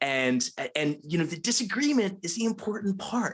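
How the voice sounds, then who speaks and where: A high-pitched man with a slight Philadelphia accent, very wide pitch swings and a moderate pace. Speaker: college dean and literature professor. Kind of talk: moderated conversation.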